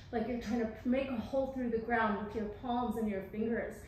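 A woman speaks at a high pitch with fairly even intonation. Audible room echo and light background noise are present. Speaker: yoga instructor. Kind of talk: tutorial. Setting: filmed home workout video, speaking to camera. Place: hall.

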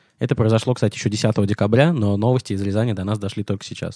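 The voice has a dark, mellow tone and moves at a very fast pace, with a dry, close sound and no echo. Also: man, very clean recording, silent background. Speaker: comedy podcast co-host. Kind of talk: improvised comedy banter.

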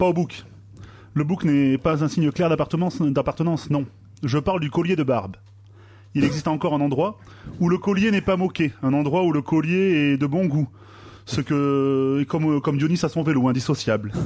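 Long, frequent pauses break up a man's moderately paced speech. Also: ordinary pitch variation. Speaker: radio columnist. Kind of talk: comedic column. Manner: sarcastic. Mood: ironic, playful persuasion. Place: studio.

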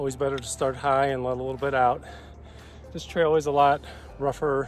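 A man talks at a fairly quick pace. The sound is dry with no echo, and faint music plays in the background. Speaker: mountain biker vlogger. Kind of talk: casual vlog chat. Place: open country. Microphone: phone near.

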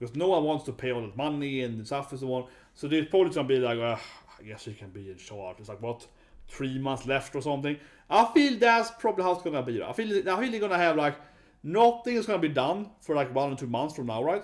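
A man's fairly high voice with a Swedish accent, very wide pitch swings, big swings in loudness and a very fast pace, against a quiet background. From Sweden. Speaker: YouTuber, user researcher; YouTuber. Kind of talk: casual video commentary. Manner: halting, many fillers. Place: home room. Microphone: webcam.

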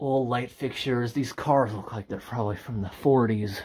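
A man speaking at a moderate pace, intonation fairly even. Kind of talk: casual exploration commentary. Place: train. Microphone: phone near.

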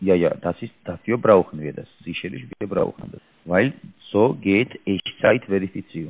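A man with a non-native accent speaks at a fairly low pitch with lively intonation. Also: moderate pace, big swings in loudness. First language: not German (speaking German). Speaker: scam call center agent. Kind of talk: phone call. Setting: phone call. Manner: halting. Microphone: mic too close to mouth, muffled; phone line.

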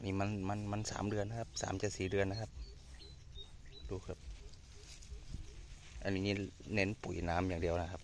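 The intonation stays fairly even. The sound is dry with no echo, over light background noise. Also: man. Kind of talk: casual farm vlog commentary. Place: farm machine. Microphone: phone near.

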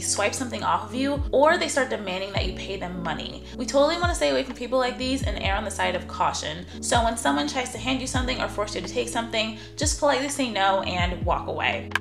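A woman with an American accent talks at a very fast pace while clear music plays in the background. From New York. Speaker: travel vlogger. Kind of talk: casual talk to camera. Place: home room.

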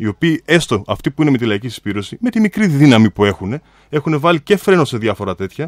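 Talking at a fairly quick pace, a man swings his pitch very widely in a dry sound with no echo and a quiet background. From Greece. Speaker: mayoral candidate. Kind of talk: radio interview. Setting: radio studio. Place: hall. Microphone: podium.

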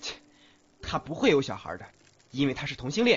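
A put-on character voice from a man, medium in pitch with very wide pitch swings, a husky, rough edge and a fairly quick pace.

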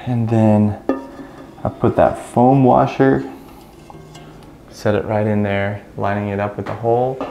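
Amid audible room echo and faint music in the background, a man with a fairly low pitch and a dark, mellow tone speaks at a fairly slow pace, with vocal fry, fairly even intonation, and long, frequent pauses.

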